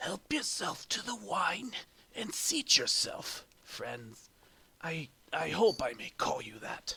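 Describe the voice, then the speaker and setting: In a put-on character voice, the speaker sounds raspy and goes at a fairly slow pace. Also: man, high pitch for a man. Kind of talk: polite, courteous.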